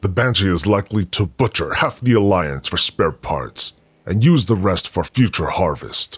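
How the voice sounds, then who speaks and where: A man performs a put-on character voice on a very clean recording with a silent background. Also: fairly low pitch for a man, moderate pace. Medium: audio drama. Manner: grave, measured, resolute.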